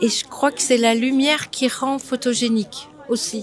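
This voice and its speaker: Noticeable background noise sits behind a woman whose high-pitched voice holds fairly even intonation. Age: 70s. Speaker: passer-by interviewee. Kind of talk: casual street interview. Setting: outdoors on a street.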